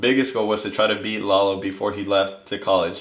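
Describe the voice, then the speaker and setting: Room echo is audible here. A man speaks at a fairly low pitch. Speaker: college runner. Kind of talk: casual interview monologue. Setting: seated on camera.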